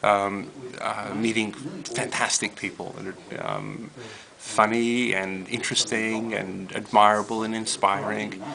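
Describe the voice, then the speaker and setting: Fairly slow, fairly even speech from a man with an American accent and fairly low pitch, over noticeable background noise. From New York, Brooklyn. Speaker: rabbi, interfaith educator. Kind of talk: interview. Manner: halting, many fillers.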